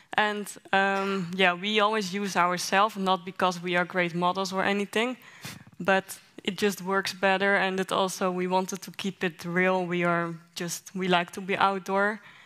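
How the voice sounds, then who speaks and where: At a moderate pace, a woman speaks in a bright, sharp tone with monotone, flat intonation. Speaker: content creator; guest, content creator. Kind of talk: panel interview. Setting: stage with audience. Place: stage. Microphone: headset.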